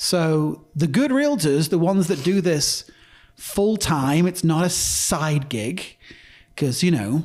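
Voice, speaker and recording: At a fairly slow pace, a man with an English accent speaks in a fairly high pitch with ordinary pitch variation. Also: very clean recording, silent background. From northern England. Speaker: real estate broker. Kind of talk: casual chat.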